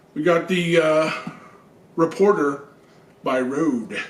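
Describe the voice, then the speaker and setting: High-pitched with ordinary pitch variation, a man's voice comes through audible room echo and noticeable background noise. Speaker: video game channel host. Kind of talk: product unboxing review. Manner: casual, hesitant with fillers.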